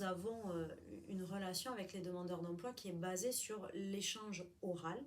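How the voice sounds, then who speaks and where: Amid noticeable background noise and audible room echo, a woman speaks at a fairly slow pace in a medium pitch with ordinary pitch variation. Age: 40s. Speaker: job counselor. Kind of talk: interview.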